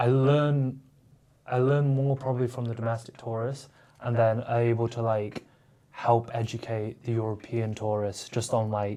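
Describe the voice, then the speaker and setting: Speaking at a moderate pace with long, frequent pauses, a man uses a medium pitch, a monotone, flat intonation and a dark, mellow tone. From northern England, Manchester. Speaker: streetwear store founder. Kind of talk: casual podcast interview. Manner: casual, filler-heavy.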